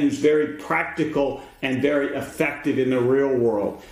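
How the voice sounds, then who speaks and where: Room echo can be heard as a man speaks. His pace is fairly slow. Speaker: podcast host. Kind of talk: show intro. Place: home room.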